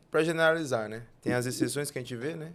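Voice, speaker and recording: Noticeable background noise sits behind this speaker. A man talks with fairly even intonation. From northern Tocantins, Brazil. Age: 20s. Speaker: guest sharing faith testimony. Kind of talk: testimony.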